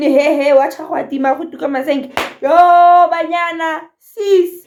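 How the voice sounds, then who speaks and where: An animated woman's voice at an extremely high pitch. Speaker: YouTuber reacting to videos. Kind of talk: reaction video commentary.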